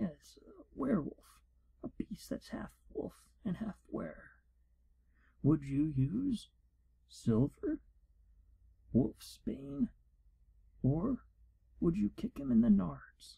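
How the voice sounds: In a put-on character voice, a man speaks slowly at a high pitch with big pitch swings and long, frequent pauses. His tone is dark and mellow, with vocal fry and a husky, rough edge.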